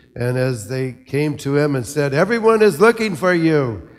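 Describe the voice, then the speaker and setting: A man with an American accent at a fairly slow pace, music in the background. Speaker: priest giving a homily. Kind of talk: homily at Mass, with a reflective eulogy-style tribute to a deceased priest friend. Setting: church, speaking to a congregation.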